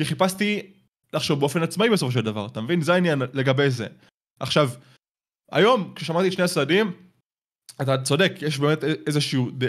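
Recorded very cleanly with a silent background, a man with a fairly high pitch talks at a very fast pace with lively intonation. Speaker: YouTuber. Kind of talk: casual chat.

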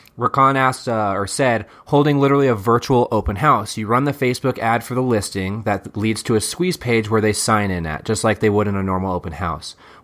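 This man has a normal speaking voice at medium pitch, moving at a fairly quick pace with hardly any pauses and ordinary pitch variation. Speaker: podcast host. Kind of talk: casual podcast chat. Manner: casual, chatty.

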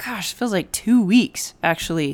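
Her voice is raspy with a slightly mellow tone, set at a medium pitch, moving at a fairly slow pace with lively intonation.

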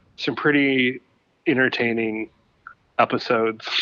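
A man speaks at a medium pitch with a Michigan accent and ordinary pitch variation. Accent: Midwestern American (Michigan). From Michigan, Ypsilanti near Detroit. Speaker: photographer. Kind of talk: casual chat. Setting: phone call.

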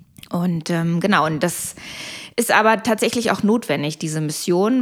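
A woman speaks at a medium pitch and a moderate pace. It is an ordinary speaking voice with ordinary pitch variation. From Germany (born in Poland). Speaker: caterer and entrepreneur. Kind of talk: casual interview. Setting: home kitchen.

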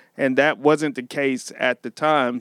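An unremarkable speaking voice from a man, fairly high-pitched at a moderate pace, is captured in a very clean recording with a silent background and a dry, close sound with no echo. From Missouri, US Midwest. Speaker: pastor. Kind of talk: casual chat.

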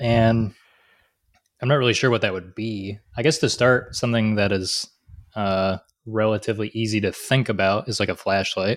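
Over a very clean recording with a silent background, a man with an unremarkable speaking voice talks with a fairly low pitch and fairly even intonation. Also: moderate pace. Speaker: podcast host, machinist. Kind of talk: casual chat.

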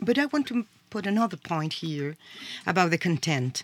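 A woman with a Spanish accent, lively intonation and a moderate pace, in a very clean, silent recording with a dry, close sound and no echo. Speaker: sociology professor. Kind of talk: discussion. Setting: studio. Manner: halting.

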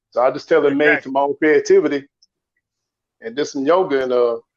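Fairly high pitch for a man, delivered at a fairly quick pace. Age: 50s. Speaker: caller. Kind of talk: casual chat. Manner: halting.

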